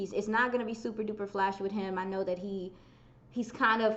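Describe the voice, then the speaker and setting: A woman speaks very fast at a medium pitch with fairly even intonation. Noticeable background noise runs underneath. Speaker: football content creator. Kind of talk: casual chat.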